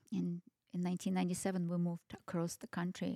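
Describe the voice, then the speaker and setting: A woman speaks at a medium pitch with a dark, mellow tone. The recording is very clean and dry, close with no echo, over a silent background. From Kazakhstan (Almaty). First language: Russian. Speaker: restaurant owner. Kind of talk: casual chat. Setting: in a home.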